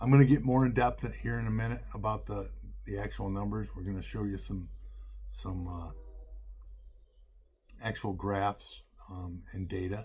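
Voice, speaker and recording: With a very deep, low pitch and a dark, mellow tone, a man speaks somewhat breathily at a moderate pace, with very wide pitch swings, big swings in loudness and long, frequent pauses. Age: 60s. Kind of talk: casual talk to camera. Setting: outdoors.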